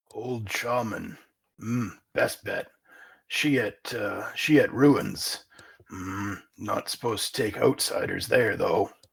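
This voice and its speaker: A man puts on a raspy character voice, speaking very slowly with long, frequent pauses. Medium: actual play. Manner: broken, clipped grammar; gruff, boastful.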